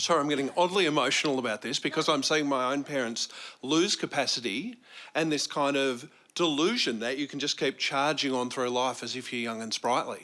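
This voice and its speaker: This man has a fairly high pitch and a bright, sharp tone. He speaks fairly quickly with ordinary pitch variation. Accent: Australian. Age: 50s. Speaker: audience member, school teacher. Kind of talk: audience discussion.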